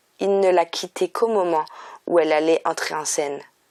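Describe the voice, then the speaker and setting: A woman with a fairly low pitch speaks in a calm, soothing tone with fairly even intonation, the sound dry and close with no echo. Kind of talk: audiobook reading.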